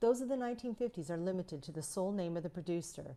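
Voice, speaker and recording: This woman talks at a very fast pace with lively intonation. Her medium-pitched voice has a dark, mellow tone. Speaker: conference presenter. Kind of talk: pre-recorded conference paper. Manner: formal.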